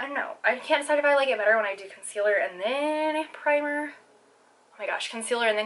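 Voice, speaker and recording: This woman talks at a very fast pace. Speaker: beauty vlogger. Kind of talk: makeup tutorial. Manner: stumbling over words. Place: home room. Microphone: phone near.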